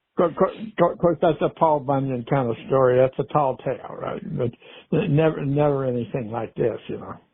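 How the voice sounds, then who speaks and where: A man with a fairly high pitch and an unremarkable speaking voice talks at a moderate pace. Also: ordinary pitch variation. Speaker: storyteller. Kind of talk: podcast storytelling. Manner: relaxed, folksy.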